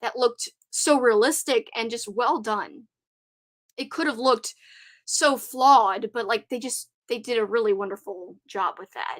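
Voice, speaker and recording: A woman's high-pitched voice comes at a moderate pace, with a dry, close sound and no echo. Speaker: YouTuber. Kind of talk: live stream chat. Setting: live stream. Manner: animated.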